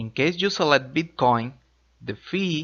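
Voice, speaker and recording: A man with a Spanish accent. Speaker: crypto tutorial youtuber. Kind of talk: tutorial. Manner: slow.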